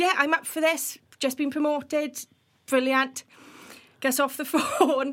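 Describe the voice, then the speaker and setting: A high-pitched woman with a Welsh accent, fairly slow, with long and frequent pauses. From Wales. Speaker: builders merchant industry professional. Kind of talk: casual podcast interview. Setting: studio. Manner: infectious, enthusiastic.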